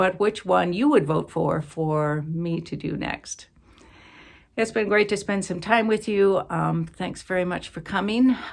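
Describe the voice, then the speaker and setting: This woman speaks fairly slowly at a medium pitch, with ordinary pitch variation. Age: 60s. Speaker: cross-stitch vlogger. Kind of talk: casual chat. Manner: halting.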